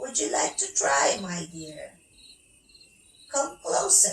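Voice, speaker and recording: A woman cackles in a put-on character voice. Her pace is very slow. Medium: read story. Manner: cackling.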